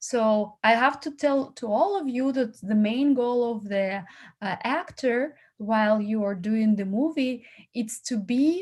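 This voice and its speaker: The speaker has a non-native accent and talks at a fairly slow pace with lively intonation, in a very clean recording with a silent background. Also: woman, fairly high pitch for a woman. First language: not English. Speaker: casting platform founder. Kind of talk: feedback talk to actors. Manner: halting.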